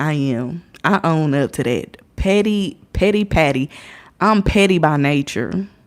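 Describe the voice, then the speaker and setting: A woman with an American accent, very deep and low in pitch, at a fairly slow pace with lively intonation. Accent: has an accent, per others. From Indiana, US. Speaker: livestreamer. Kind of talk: casual livestream storytelling.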